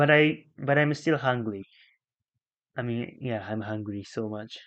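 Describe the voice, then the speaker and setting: Delivered at a fairly slow pace with a Japanese accent, the speech has ordinary pitch variation and big swings in loudness. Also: man, medium pitch for a man. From Japan, Chiba. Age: 20s. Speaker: live streamer. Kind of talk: casual live stream chat. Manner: halting.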